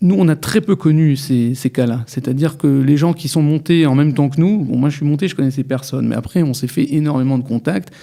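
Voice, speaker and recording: There is noticeable background noise as a man talks fairly quickly, with hardly any pauses. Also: fairly high pitch for a man, ordinary pitch variation. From France, Metz. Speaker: lawyer. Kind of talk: radio interview. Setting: studio.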